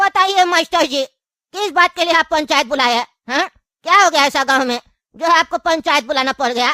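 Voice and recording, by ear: Doing a cartoonish character voice, a woman talks at a high pitch and a fairly quick pace with a dry, close sound and no echo.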